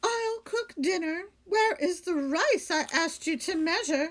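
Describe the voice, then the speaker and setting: Squeaky and extremely high-pitched, a woman puts on a character voice with lively intonation at a fairly slow pace. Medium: read story. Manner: exclaiming, flustered.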